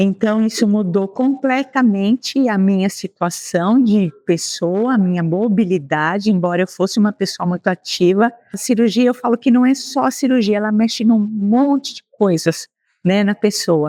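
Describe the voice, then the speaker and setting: Her voice has a dark, mellow tone and ordinary pitch variation. The woman's sound is dry and close with no echo, over a quiet background. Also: medium pitch for a woman, moderate pace. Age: 60s. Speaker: retiree. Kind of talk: interview.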